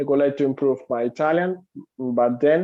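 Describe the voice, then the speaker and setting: A man talks at a fairly slow pace with a Spanish accent. His pitch sits in the medium range. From Cuba. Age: 20s. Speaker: English teacher. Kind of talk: interview. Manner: halting, many fillers.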